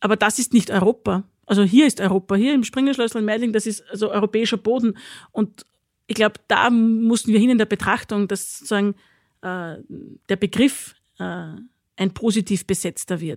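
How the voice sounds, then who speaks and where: This is a normal speaking voice from a woman, fairly high in pitch with ordinary pitch variation, at a moderate pace. The recording is very clean, dry and close with no echo, over a silent background. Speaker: president of a political academy. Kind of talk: discussion. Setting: studio.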